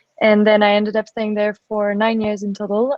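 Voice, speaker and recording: Speaking with a French accent, a woman has a fairly high pitch. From France. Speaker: venture capital investor. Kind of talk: panel talk. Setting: live webinar.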